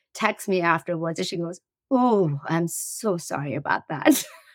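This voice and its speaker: A woman with a slight Persian accent, fairly low in pitch, at a moderate pace. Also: dry, close sound with no echo. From Iran. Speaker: tech startup CEO. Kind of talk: interview.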